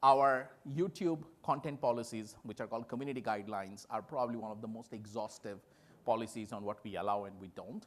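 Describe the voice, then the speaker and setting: A man speaks with a Bengali accent at a medium pitch. His pace is fairly quick. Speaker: tech company executive. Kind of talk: conference keynote talk.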